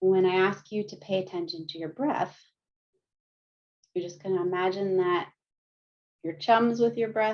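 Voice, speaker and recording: Fairly slow delivery from a woman at medium pitch. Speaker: counselor and research coordinator. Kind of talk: guided meditation and movement.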